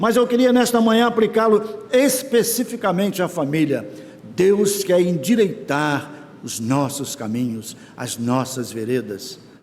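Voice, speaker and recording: Speaking at a fairly slow pace, a man with a high voice uses lively intonation amid audible room echo and noticeable background noise. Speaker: church elder preaching. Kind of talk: sermon.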